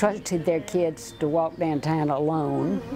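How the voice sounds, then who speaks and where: A woman with a Tennessee accent at a very slow pace, ordinary pitch variation, and music in the background. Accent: Southern US (Tennessee). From US South, Franklin, Tennessee. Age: 80s. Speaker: longtime local resident. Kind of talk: interview reminiscence.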